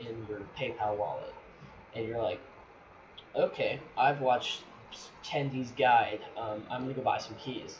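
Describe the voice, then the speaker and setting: Noticeable background noise and audible room echo around a man talking at a moderate pace. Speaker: gaming channel creator. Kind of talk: tutorial. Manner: halting, stuttering; casual, filler-heavy. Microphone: poor mic quality.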